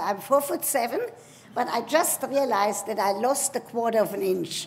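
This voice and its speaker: With a German accent, a woman with a fairly high pitch talks at a moderate pace and ordinary pitch variation over noticeable background noise. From Germany. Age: 80s+. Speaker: sex therapist and educator. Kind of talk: award acceptance speech.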